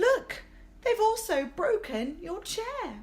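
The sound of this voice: Over faint music in the background, a woman does a put-on character voice at an extremely high pitch. She speaks slowly with big pitch swings.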